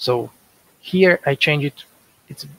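In a Portuguese accent, a man speaks with a fairly high pitch and ordinary pitch variation. The sound is dry with no echo. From Brazil. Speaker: software developer. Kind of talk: conference lightning talk. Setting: video call. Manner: halting. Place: home room. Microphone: headset.

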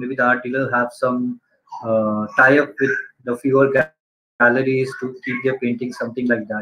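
The voice has a bright, sharp tone and moves at a moderate pace against a quiet background. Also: man. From India. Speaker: interviewer. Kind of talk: interview. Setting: video call. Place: home room. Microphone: video call.

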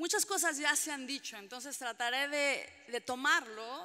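A woman speaks at a fairly slow pace in a bright, sharp tone, her pitch varying in an ordinary way against a quiet background. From Mexican-American (US-raised Mexican). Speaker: trade union organizer; panelist. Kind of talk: panel debate talk. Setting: public panel with audience. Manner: passionate, animated. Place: hall. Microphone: podium.

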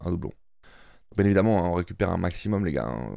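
Over a quiet background, a man with a very deep, low pitch and a dark, mellow tone uses lively intonation and vocal fry, the sound dry with no echo. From Switzerland (French-speaking, Neuchâtel); Switzerland. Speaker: gaming YouTuber. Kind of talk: casual gameplay commentary. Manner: animated, excited exclamations. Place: home room. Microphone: studio mic.

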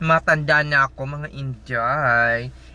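A man is speaking. His tone is animated. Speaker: nurse vlogger. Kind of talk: casual vlog.

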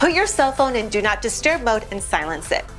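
A woman speaks at a moderate pace. Faint music can be heard behind her. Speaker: presenter. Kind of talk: scripted tips presentation.

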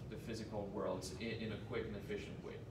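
Background noise is noticeable. A man speaks at a moderate pace. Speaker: presenter. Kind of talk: presentation to an audience. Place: meeting room. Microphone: camera far.

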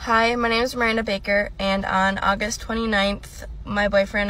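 The woman's voice has a dry sound with no echo. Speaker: witness. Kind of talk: casual selfie video account. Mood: earnest, a bit worried. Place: car. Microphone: phone near.

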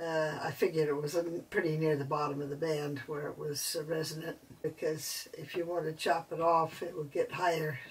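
A woman with a very deep, low pitch speaks in a somewhat breathy, monotone voice with flat intonation. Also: moderate pace. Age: 70s. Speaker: amateur radio operator. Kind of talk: casual DIY tutorial talk. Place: home room. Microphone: camera far.

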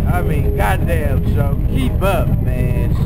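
Loud music fills the background. A man talks over it. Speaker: biker vlogger. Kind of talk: casual vlog chat. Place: street.

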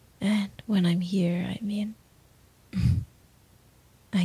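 Soft-spoken delivery with a dry sound and no echo. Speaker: voice actor in roleplay audio. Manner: soft, intimate ASMR roleplay voice.

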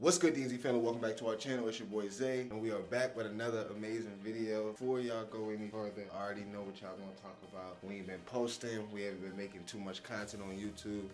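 Fairly low pitch from a man at a very fast pace, with fairly even intonation and clear music in the background. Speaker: family vlogger. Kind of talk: casual vlog chat. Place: home room. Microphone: phone near.

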